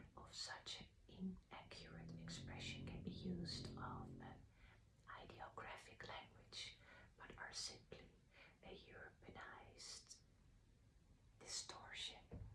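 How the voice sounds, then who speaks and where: Her speech is a whisper. The woman goes very slowly, leaving long, frequent pauses. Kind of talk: ASMR reading of esoteric literature. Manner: soft, whispered.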